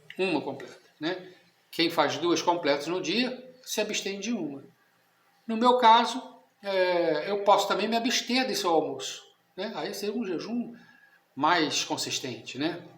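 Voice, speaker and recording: Pitched high, a man speaks fairly slowly with lively intonation and long, frequent pauses. The room echo is audible. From Brazil. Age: 60s. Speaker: catechism teacher. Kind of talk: lecture. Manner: conversational, informal.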